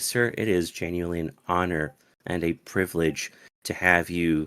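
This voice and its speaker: A man speaks in a very deep, low voice with flat, monotone intonation. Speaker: online community moderator hosting a Q&A. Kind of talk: live online event hosting. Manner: formal.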